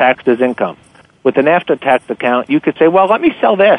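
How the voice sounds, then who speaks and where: In an unremarkable speaking voice, a man talks at a fairly quick pace, his pitch fairly high and his intonation lively. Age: 50s. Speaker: author and investment newsletter publisher. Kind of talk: radio interview.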